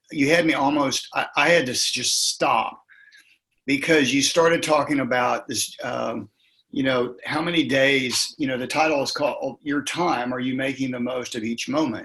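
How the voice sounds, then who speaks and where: At a moderate pace, a man speaks in a bright, sharp tone with a fairly high pitch and fairly even intonation. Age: 60s. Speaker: leadership coach and former principal. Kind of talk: interview conversation.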